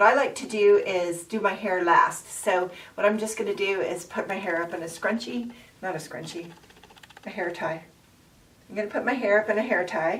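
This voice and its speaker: Noticeable background noise behind a woman talking at a fairly quick pace, her medium pitch showing ordinary pitch variation. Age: 50s. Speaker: makeup and lifestyle vlogger. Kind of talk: casual talk to camera.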